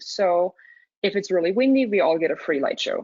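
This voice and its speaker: A woman speaks at medium pitch. She has an Austrian accent. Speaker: student and dark sky coordinator. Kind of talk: webinar presentation. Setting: webinar. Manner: halting with fillers.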